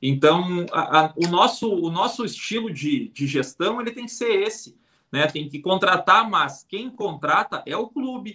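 A man speaks at a fairly slow pace in a raised, projected voice, his pitch high and his tone bright and sharp. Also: lively intonation. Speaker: football fan podcast host. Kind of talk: casual live-stream chat.

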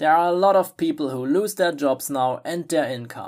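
This speaker has a non-native accent and talks at a moderate pace. The recording is very clean, with a silent background. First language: not English. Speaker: affiliate marketing blogger. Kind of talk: scripted monologue. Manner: animated.

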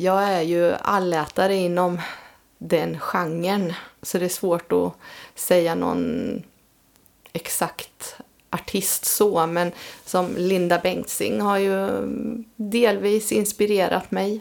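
A woman at medium pitch, very slow in pace, with fairly even intonation and long, frequent pauses. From Östergötland, Sweden. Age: 50s. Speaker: amateur singer-songwriter. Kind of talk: casual interview chat. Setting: home studio.

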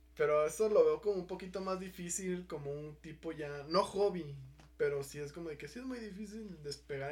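Fairly high for a man, his voice moves at a moderate pace with lively intonation and big swings in loudness. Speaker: podcast host. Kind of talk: casual chat.

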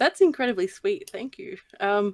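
A woman with a medium pitch and a slightly mellow tone speaks at a moderate pace with lively intonation, and the sound is dry and close with no echo.

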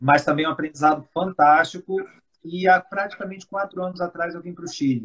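A man speaks fairly quickly in a high voice with fairly even intonation. His loudness swings a lot. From Brazil, Rio de Janeiro, raised in Espírito Santo. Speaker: pharmaceutical executive. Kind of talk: interview. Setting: live stream video call.

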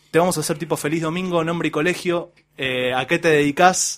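Speech moves fairly quickly. Its pitch shifts in an ordinary manner. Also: man. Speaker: podcast host. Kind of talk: casual chat.

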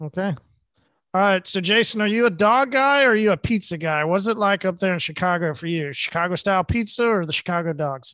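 A bright, sharp tone with lively intonation and a fairly quick pace, in an American accent, over a quiet background. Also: man, high pitch for a man. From Oklahoma. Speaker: podcast host. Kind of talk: casual chat. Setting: video call.

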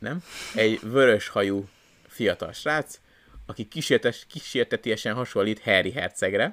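The recording is very clean, with a silent background and a dry, close sound with no echo. A man speaks at a fairly slow pace with long, frequent pauses. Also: medium pitch for a man, ordinary pitch variation. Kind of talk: casual chat. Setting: new recording location.

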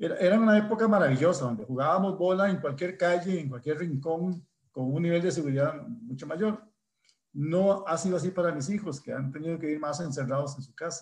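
The man's voice is high-pitched, with ordinary pitch variation. He moves at a fairly quick pace. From Costa Rica, Desamparados (San José). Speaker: math professor and council candidate. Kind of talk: interview.

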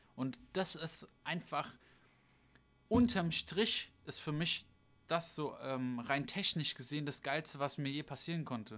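Fairly high in pitch, this man's voice moves at a very slow pace. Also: ordinary pitch variation. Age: 20s. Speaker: DJ and podcast co-host. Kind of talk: casual livestream chat. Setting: livestream on a streaming channel.

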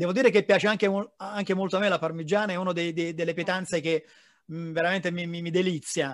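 At a fairly quick pace, a man with a high pitch speaks in fairly even intonation. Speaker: podcast host. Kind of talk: interview.

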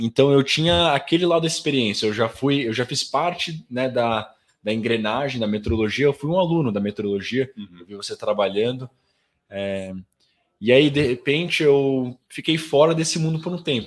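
An unremarkable speaking voice from a man, medium in pitch, with lively intonation at a moderate pace, on a very clean recording with a silent background. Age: 20s. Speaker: professional swimmer. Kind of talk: casual chat. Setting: studio.

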